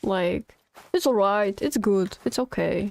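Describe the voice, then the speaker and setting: With a Polish accent, the speaker goes at a very slow pace with lively intonation, in a dry, close sound with no echo. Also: woman. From Poland. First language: not English. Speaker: video game streamer. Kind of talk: live gameplay stream chat. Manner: casual, chatty.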